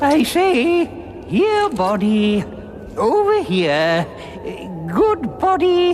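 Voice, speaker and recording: In a cartoonish character voice, the speaker goes at a very slow pace with long, frequent pauses over clear background noise. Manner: plummy, blustering.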